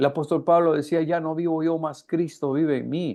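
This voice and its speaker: An unremarkable speaking voice from a man, fairly high in pitch, with fairly even intonation. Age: 60s. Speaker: preacher. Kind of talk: sermon. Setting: live stream.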